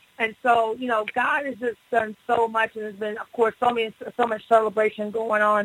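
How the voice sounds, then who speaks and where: A woman speaks at a fairly quick pace in a fairly high pitch, her intonation monotone and flat. Her loudness swings widely, and the sound is dry and close with no echo. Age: 40s. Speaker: pastor. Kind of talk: radio interview testimony.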